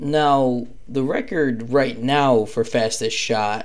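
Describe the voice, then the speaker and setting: Audible room echo surrounds a man whose intonation is fairly even. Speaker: podcast host. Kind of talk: casual monologue about lacrosse. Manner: hesitant, many fillers.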